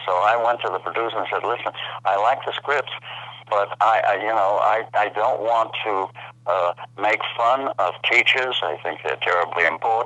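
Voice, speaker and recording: A man talks at a moderate speed while noticeable noise sits in the background. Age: 80s+. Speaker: actor. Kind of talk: interview answer.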